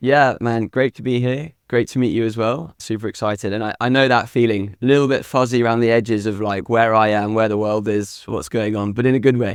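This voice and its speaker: A man with a British accent speaks at a fairly quick pace. He takes hardly any pauses and keeps a fairly even intonation. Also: medium pitch for a man. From UK. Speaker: meditation app founder. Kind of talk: interview. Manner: casual, filler-heavy.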